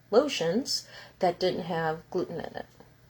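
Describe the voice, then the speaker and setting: The woman's voice is somewhat breathy and medium in pitch. She speaks at a fairly slow pace. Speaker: healing center owner and spiritual teacher. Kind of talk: live stream talk.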